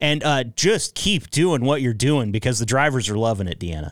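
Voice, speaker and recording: Recorded very cleanly against a silent background, a man speaks fairly quickly in a normal speaking voice, his pitch varying in an ordinary way. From Northeast Oregon.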